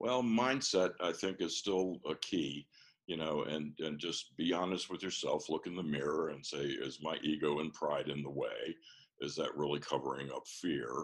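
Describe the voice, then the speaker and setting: A man's very deep, low voice in a Mid-Atlantic American accent, at a moderate pace with ordinary pitch variation. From US, Washington D.C. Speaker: business coach. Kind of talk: interview.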